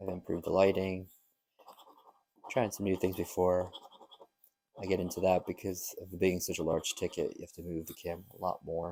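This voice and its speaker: Mumbling at a fairly quick pace, a man with a very deep, low pitch and a dark, mellow tone keeps a flat, monotone intonation and leaves long, frequent pauses. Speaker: lottery scratch-off youtuber. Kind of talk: casual vlog commentary. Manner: tends to mumble.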